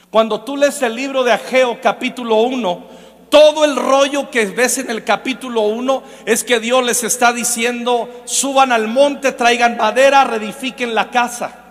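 A man speaks at an extremely high pitch in a flat, monotone delivery. His pace is fairly slow, with noticeable background noise. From Mexico, Michoacán. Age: 40s. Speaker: preacher. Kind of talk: sermon.

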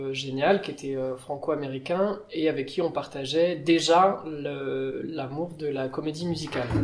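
The speech is very slow with fairly even intonation, heard through audible room echo and noticeable background noise. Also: man. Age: 30s. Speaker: pianist and improvising musician. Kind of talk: casual interview. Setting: on a theatre stage.

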